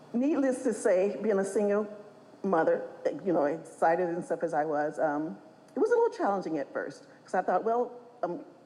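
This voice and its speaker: Very wide pitch swings stand out against noticeable background noise. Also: woman, medium pitch for a woman. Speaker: honored mother of a pro basketball player. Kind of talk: speech at a gala event. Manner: fast.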